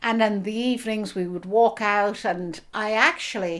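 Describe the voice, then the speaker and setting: On a very clean recording with a silent background, a woman with an Irish accent talks at a moderate pace, her pitch medium and her intonation fairly even. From Ireland, Dublin. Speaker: author. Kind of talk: interview.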